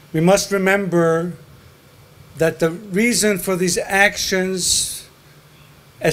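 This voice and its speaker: A man talks at a very slow pace in a high pitch, with fairly even intonation. Noticeable background noise sits behind him. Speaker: foundation founder giving a speech. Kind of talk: memorial speech.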